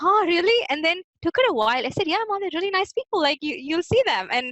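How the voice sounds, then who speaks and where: At an extremely high pitch, a woman with a South Indian accent talks at a very fast pace with very wide pitch swings, in a dry, close sound with no echo. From Hyderabad, South India. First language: Telugu. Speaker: immigrant interviewee. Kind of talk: casual interview.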